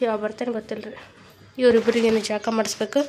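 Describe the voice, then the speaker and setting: A woman speaks in a monotone, flat voice at a fairly high pitch, with noticeable background noise behind her. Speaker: family vlogger. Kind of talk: casual vlog talk.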